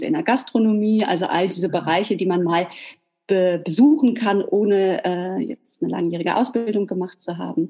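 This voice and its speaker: In a dark, mellow tone, a woman speaks at medium pitch with lively intonation and a moderate pace. The background is quiet. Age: 40s. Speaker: hair salon owner. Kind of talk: interview.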